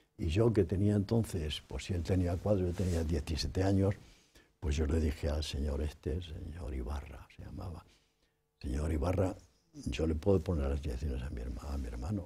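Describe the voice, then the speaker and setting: A man's very deep, low voice with vocal fry and a dark, mellow tone, at a moderate pace with ordinary pitch variation. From Spain, Toledo province; Spain. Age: 80s+. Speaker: writer and artist; interviewee. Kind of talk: interview. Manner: halting. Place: studio. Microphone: lapel.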